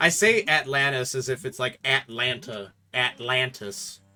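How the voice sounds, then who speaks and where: A man with an American accent talks over music in the background. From US Midwest. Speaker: video game let's player. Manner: casual, joking commentary.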